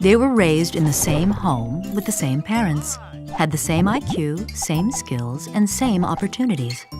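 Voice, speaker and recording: A woman talks at a fairly slow pace while music sounds in the background. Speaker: actress. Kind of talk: animated story narration.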